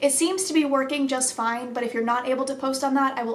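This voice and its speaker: Very rapid delivery, with fairly even intonation and noticeable background noise. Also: woman. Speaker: YouTuber reading viewer stories. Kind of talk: reading aloud. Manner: fast; fumbling words.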